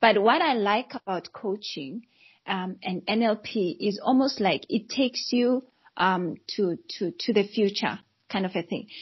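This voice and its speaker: A woman talks at a fairly slow pace in a fairly high, somewhat breathy voice with lively intonation. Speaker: coach and psychologist. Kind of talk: casual chat.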